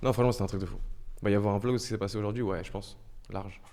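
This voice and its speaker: His intonation stays fairly even. The man's voice sits fairly low in pitch and has a dark, mellow tone. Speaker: streamer. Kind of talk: casual live stream chat. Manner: soft-spoken.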